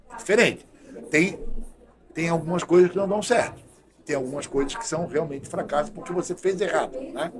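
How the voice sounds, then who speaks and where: Over noticeable background noise, a man with a high pitch and ordinary pitch variation talks at a fairly quick pace, broken by long, frequent pauses. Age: 60s. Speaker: doctor and health official. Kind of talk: podcast interview. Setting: studio.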